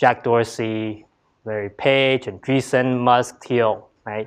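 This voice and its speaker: A man with an American accent speaks at a medium pitch in a flat, monotone delivery. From Taiwan, then Bay Area California. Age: 30s. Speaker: entrepreneur and investor. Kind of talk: lecture. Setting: university lecture hall with audience. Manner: hesitant, many fillers.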